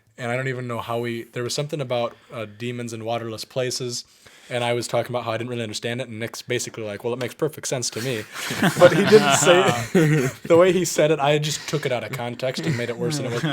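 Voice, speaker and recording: A man speaks at a very fast pace with a medium pitch and ordinary pitch variation. His loudness swings widely, and there is noticeable background noise. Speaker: podcast co-host. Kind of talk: casual storytelling chat.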